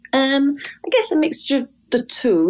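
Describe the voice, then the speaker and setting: In a very clean recording with a silent background, a woman speaks with a Welsh accent. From Wales. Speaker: singer, violinist and composer. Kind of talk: casual interview. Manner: hesitant, many fillers.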